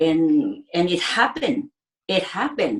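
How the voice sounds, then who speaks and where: A woman speaks with a Filipino accent. Her pitch is fairly low. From Philippines. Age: 60s. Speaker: ICU nurse. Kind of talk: interview. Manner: halting.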